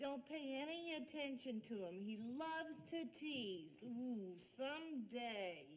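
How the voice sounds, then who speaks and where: A woman puts on a character voice, high in pitch and fairly slow. Her loudness stays very even over clear background noise. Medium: short film. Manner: bright, exclamatory.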